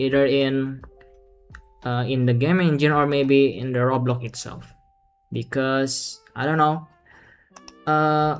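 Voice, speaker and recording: Someone with a non-native accent speaks at a fairly slow pace, leaving long, frequent pauses while music plays in the background. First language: not English. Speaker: streamer. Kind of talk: live stream chat. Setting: live stream. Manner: halting.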